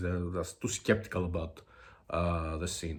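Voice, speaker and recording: A man with a Greek accent speaks at a moderate pace. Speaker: music video blogger. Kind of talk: casual video monologue. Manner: halting, many fillers.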